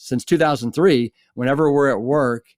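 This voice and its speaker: Here a man talks at a moderate pace with an American accent. The sound is dry and close, with no echo. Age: 60s. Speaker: former firefighter and plant-based diet author. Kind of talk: interview. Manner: animated.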